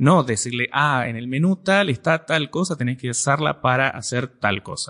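A man's medium-pitched voice with a bright, sharp tone, ordinary pitch variation and hardly any pauses, dry and close with no echo, quiet background. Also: moderate pace. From Argentina. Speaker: computer science teacher. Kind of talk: interview. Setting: university.

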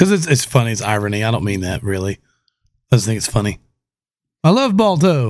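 At a fairly quick pace broken by long, frequent pauses, a man of medium pitch speaks with very wide pitch swings. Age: 30s. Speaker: podcast host. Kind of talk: casual chat. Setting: studio. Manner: loud.

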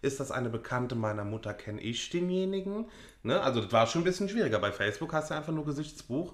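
Very wide pitch swings mark a man's fairly high voice as he talks at a very fast pace with a Rhineland accent. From Rhineland, western Germany. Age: 20s. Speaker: podcast co-host. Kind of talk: casual chat.

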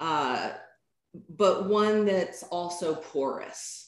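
A woman talks at a very slow pace in a Southern US accent. Her pitch is medium, with ordinary variation. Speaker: yoga teacher. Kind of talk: interview conversation.

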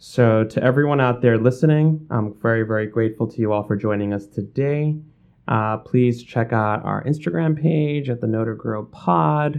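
The man's voice sits at a medium pitch with ordinary pitch variation, and he speaks at a moderate pace. It is an unremarkable speaking voice. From New York City, Bangladeshi family. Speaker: podcast host, education CEO. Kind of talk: interview.

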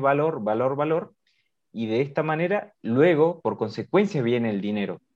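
With an unremarkable speaking voice, a man talks at a moderate pace with lively intonation. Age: 20s. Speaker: podcast host. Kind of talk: casual interview.

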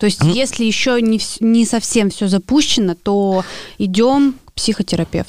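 With a normal speaking voice and a fairly high pitch, a woman talks at a moderate pace, showing ordinary pitch variation and big swings in loudness. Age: 20s. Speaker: podcast co-host, artist and blogger. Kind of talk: casual chat.

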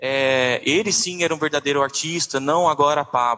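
A man with an unremarkable speaking voice, fairly high pitch, ordinary pitch variation, and a fairly slow pace. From interior of Goiás, Brazil. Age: 20s. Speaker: dentist and singer. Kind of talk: casual interview.

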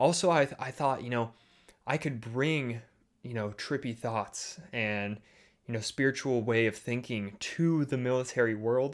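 A man with a Midwestern American accent speaks at a medium pitch and a fairly slow pace. His pitch variation is ordinary, on a very clean recording with a silent background. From US Midwest, Chicago suburbs. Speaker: podcast host, business coach. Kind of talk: solo podcast monologue. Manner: halting, many fillers and repeated words.

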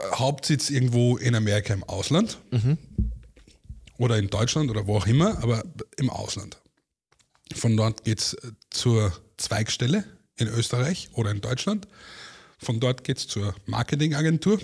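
A man's medium-pitched, somewhat breathy voice, lively in intonation, at a moderate pace with long, frequent pauses. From Austria, Vienna. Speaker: former TV and radio reporter, artist manager. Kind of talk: casual chat.

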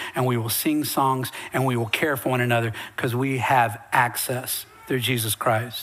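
Speaking with an American accent at a moderate pace, a man is heard over noticeable background noise and audible room echo. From Western North Carolina mountains. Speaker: pastor. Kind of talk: sermon. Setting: church. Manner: animated.

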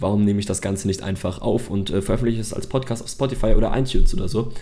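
Words tumble out of this man very fast. The intonation stays monotone and flat. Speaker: podcast host. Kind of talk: solo podcast monologue. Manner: unscripted, with many fillers.

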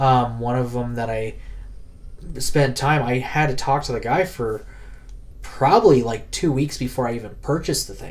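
Talking at a moderate pace with long, frequent pauses, a man with a medium-pitched voice and ordinary pitch variation is heard amid audible room echo. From US, Colorado (North Denver). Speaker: comic and collectibles collector. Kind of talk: casual interview chat.

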